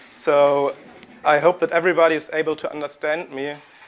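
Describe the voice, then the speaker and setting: Speaking in a German accent, a man keeps a monotone, flat intonation at a moderate pace. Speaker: postdoctoral historian. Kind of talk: academic lecture. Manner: halting, with hesitations.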